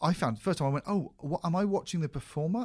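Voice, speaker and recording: A man with a British accent in a very clean recording with a silent background. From UK. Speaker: podcast host, comedy writer. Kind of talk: casual chat.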